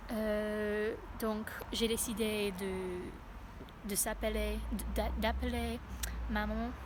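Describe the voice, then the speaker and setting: Speaking with an English accent, a woman is heard over noticeable background noise and audible room echo. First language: English (speaking French). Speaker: language learner vlogger. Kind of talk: vlog. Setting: outdoors in a park. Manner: halting, many hesitations.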